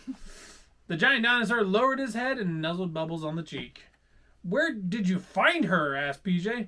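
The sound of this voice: Lively intonation runs through the speech. It is delivered in an unforced reading voice.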